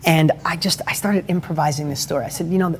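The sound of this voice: Fairly high in pitch, a man speaks at a fast pace with fairly even intonation.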